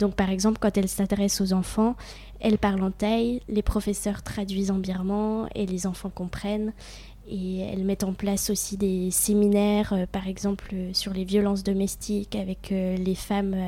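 At a moderate pace, a woman speaks in a dark, mellow, somewhat breathy voice of medium pitch, her intonation monotone and flat. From France, Franche-Comté (near Besançon). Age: 20s. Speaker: humanitarian volunteer. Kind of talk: interview.

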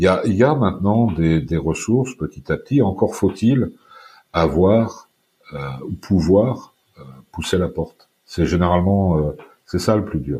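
This man's very deep, low voice has a dark, mellow, somewhat breathy tone and lively intonation, moving at a very slow pace with long, frequent pauses. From France, Brittany / northern Paris suburbs. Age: 50s. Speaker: former export sales manager, recovering addict. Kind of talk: personal testimony interview.

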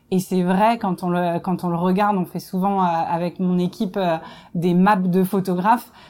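Speaking at a fairly slow pace, a woman keeps a monotone, flat intonation at a medium pitch, with a dark, mellow tone. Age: 30s. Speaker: production director. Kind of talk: interview testimony.

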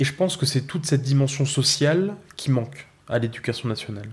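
A man, fairly high in pitch and somewhat breathy, with ordinary pitch variation at a fairly quick pace. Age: 20s. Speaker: school education counsellor. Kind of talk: personal testimony.

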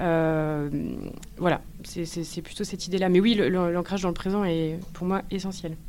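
A woman's fairly even intonation carries through audible room echo. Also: fairly low pitch for a woman, fairly slow pace. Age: 30s. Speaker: eco-anxiety support entrepreneur, former HR worker. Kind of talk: interview. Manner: hesitant, many fillers.

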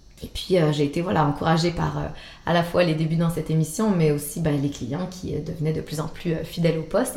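In a Quebec accent, a woman with a fairly low pitch talks at a moderate pace amid audible room echo. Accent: Québécois French. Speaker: antiques dealer. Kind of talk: interview. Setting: her showroom. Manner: hesitant, with many fillers.

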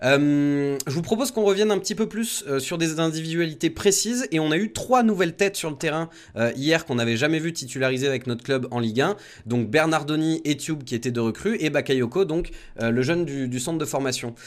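Lively in intonation, this man has an unremarkable speaking voice, pitched fairly high, and moves at a fairly quick pace. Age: 20s. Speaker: radio host, football supporters' show. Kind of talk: casual chat.

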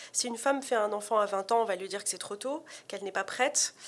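The woman's medium-pitched voice moves along at a very fast pace. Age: 30s. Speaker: author. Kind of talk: interview.

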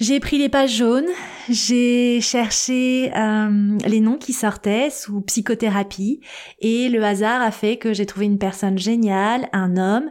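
A woman speaks in an unremarkable speaking voice at a fairly high pitch. Her pitch variation is ordinary, and the recording is very clean with a silent background. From Paris suburbs, Seine-Saint-Denis (Aubervilliers). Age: 40s. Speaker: podcast host and life coach. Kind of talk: personal storytelling monologue.

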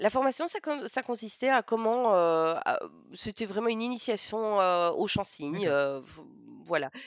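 A woman speaks at a fairly high pitch with very wide pitch swings. She goes at a fairly slow pace against a quiet background. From Belgium, Namur. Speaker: teacher of deaf children and sign-song performer. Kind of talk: interview.

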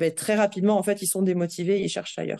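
This woman has a medium pitch. Her tone is dark and mellow. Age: 30s. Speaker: HR director. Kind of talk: interview. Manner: halting, many fillers and repetitions.

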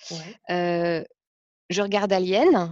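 Recorded with a dry, close sound and no echo, a woman speaks very slowly at a fairly low pitch with fairly even intonation. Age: 40s. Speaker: life coach. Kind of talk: personal testimony interview. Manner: hesitant, many fillers.

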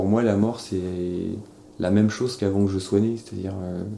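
A man talks at a moderate pace in a fairly low voice with a dark, mellow tone. His intonation is monotone and flat. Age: 30s. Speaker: interviewee sharing personal beliefs. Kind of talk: personal testimony. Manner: halting, with frequent fillers.

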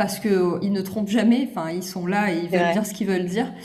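A woman at medium pitch and a fairly quick pace, with audible room echo and noticeable background noise. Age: 30s. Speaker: content creator. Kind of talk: casual chat. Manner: animated.

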